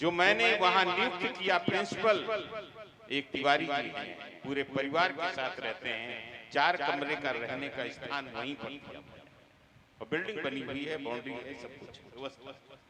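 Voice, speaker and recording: Over noticeable background noise, a man with a fairly high pitch speaks with big swings in loudness and ordinary pitch variation. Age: 70s. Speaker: politician. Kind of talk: speech to religious gathering.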